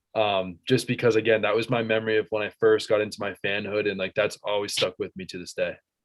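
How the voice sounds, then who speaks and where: Talking very fast with hardly any pauses, a man with an American accent uses a fairly low, monotone voice with flat intonation, in a dry, close sound with no echo. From central Massachusetts. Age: 20s. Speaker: student and sports fan. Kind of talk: casual chat.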